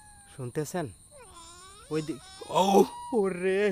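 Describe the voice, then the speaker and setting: The sound is dry and close, with no echo. A man speaks over noticeable background noise. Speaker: paranormal video host. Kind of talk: ghost-hunting vlog narration. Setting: outdoors at night. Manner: animated.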